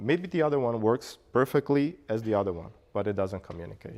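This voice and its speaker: A man with a Portuguese accent talks at a moderate pace with lively intonation. The recording is very clean, with a silent background. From Brazil, Bahia. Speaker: meetup speaker, frontend developer. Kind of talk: Q&A after talk.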